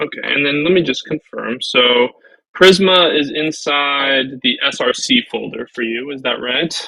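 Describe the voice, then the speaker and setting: Fairly high-pitched for a man, his voice has ordinary pitch variation and a fairly slow pace. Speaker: web developer co-hosting a learning stream. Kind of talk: casual live coding session. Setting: live stream. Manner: mumbling while thinking.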